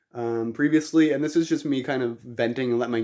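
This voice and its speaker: Here a man speaks with a Canadian accent, his medium pitch giving a dark, mellow tone with ordinary pitch variation. The background is quiet. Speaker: YouTuber. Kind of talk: vlog rant. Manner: fast; rambling with filler ums.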